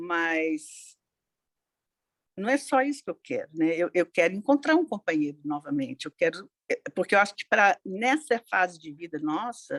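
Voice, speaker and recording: Her medium-pitched voice makes very wide pitch swings, and the woman's sound is dry and close with no echo. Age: 60s. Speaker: participant in grief support group. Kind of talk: personal testimony in group discussion. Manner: halting, many hesitations.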